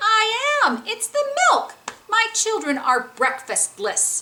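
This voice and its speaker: A woman does a put-on character voice that is squeaky and extremely high-pitched, swinging very widely in pitch at a fairly slow pace. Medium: read story. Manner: mournful, despondent.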